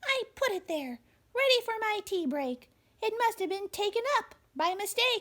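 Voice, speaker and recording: Extremely high, squeaky pitch from a woman doing a put-on character voice. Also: moderate pace. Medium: read story.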